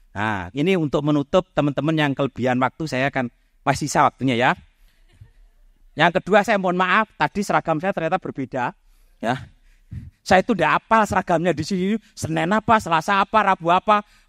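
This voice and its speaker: Delivered at a fairly quick pace with lively intonation, the voice comes through on a very clean recording with a silent background. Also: man, fairly high pitch for a man. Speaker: mathematics professor. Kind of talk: public talk. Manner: loud.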